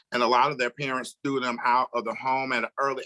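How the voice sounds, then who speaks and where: A man with an American accent, a medium pitch and a bright, sharp tone, at a moderate pace, in a dry, close sound with no echo. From Florida, US South. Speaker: nurse. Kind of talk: interview conversation.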